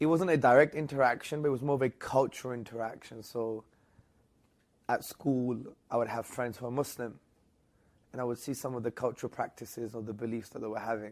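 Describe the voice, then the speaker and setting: Talking at a very fast pace yet with long, frequent pauses, a man with a London accent keeps a medium pitch and fairly even intonation. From England, London. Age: 30s. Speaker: Islamic apologist. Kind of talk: interview.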